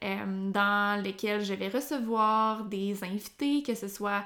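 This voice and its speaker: A woman with a Quebec accent at medium pitch, flat and monotone in intonation, on a very clean recording with a silent background. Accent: Québécois French. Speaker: sports nutritionist, podcast host. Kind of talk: solo educational podcast. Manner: hesitant, many fillers.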